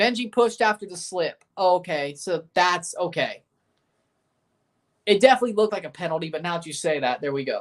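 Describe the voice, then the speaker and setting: At a moderate pace, a woman with an American accent speaks with lively intonation. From Nashville, Tennessee (US South). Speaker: sports streamer. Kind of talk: live watchalong commentary. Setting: livestream. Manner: animated.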